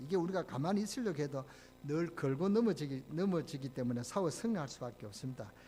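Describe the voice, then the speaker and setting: A man with a strong Gyeongsang accent talks at a very fast pace in a somewhat breathy voice. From Gyeongsang, Korea. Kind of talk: preaching, sermon.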